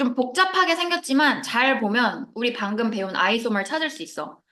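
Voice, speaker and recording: With audible room echo, a woman speaks at a moderate pace in a high, bright, sharp voice that makes very wide pitch swings. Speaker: chemistry teacher. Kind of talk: lecture. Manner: soft-spoken.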